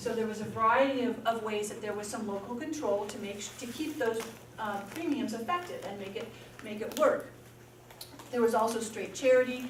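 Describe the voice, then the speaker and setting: A woman with a fairly high voice and ordinary pitch variation speaks at a fairly quick pace, her loudness swinging widely, amid noticeable background noise and audible room echo. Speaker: physician and health policy speaker. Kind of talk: lecture. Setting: room with audience of students. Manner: fast.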